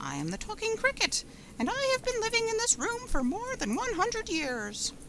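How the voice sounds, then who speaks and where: Someone performs a squeaky, put-on character voice at a moderate pace. Noticeable background noise runs underneath. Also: woman. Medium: read story. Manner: calm, moralizing.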